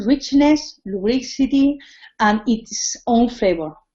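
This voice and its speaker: Speaking with a Spanish accent, a woman has a high pitch and lively intonation. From Spain. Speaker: cooking teacher. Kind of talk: tutorial. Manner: halting.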